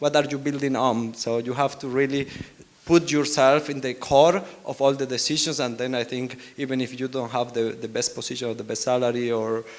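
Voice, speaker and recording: A man with a strong Spanish accent talks at a fairly quick pace. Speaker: R&D team lead, panelist. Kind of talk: panel discussion.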